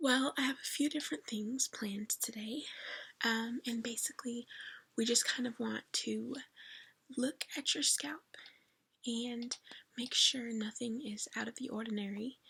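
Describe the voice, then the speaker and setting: A soft-spoken woman with a high, bright, sharp voice and a gentle tone talks fairly slowly with fairly even intonation and long, frequent pauses. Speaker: ASMR creator doing a scalp check roleplay. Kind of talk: ASMR roleplay, soft-spoken whispered talk to the listener. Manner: soft-spoken, gentle, caring.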